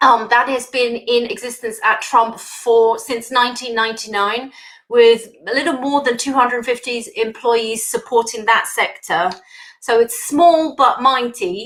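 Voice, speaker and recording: The speaker has a British accent. The pace is fairly slow and the intonation fairly even. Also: woman, high pitch for a woman. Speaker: engineer, industry manager. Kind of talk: conference talk. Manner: hesitant, many fillers.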